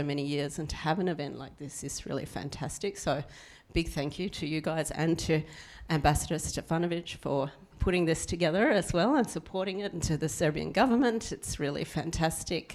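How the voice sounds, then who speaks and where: Here a woman speaks with an Australian accent in a very deep, low pitch. Her pitch variation is ordinary. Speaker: former diplomat. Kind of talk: panel introduction.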